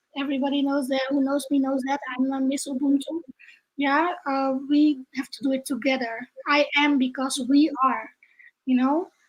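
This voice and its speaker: A woman with a Dutch accent, high pitch, fairly even intonation and a fairly slow pace. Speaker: entrepreneur and trainer. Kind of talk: video interview.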